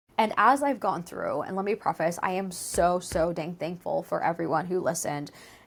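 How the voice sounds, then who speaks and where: A woman speaks in a fairly low voice. Her pace is fairly quick. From US, Mexican American family. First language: Spanish. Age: 30s. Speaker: podcast host. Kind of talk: casual solo chat. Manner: casual, with many fillers.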